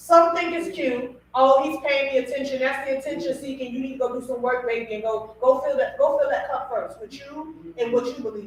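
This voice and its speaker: Loud and animated, a woman speaks at a fairly quick pace with hardly any pauses, using a high pitch and ordinary pitch variation. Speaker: radio podcast host. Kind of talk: casual talk show discussion.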